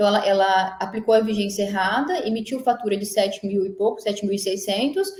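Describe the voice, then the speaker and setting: A woman's fairly high, somewhat breathy voice at a fairly quick pace. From Mato Grosso do Sul, Brazil. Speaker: energy consultant and engineer. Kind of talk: casual interview. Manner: fast.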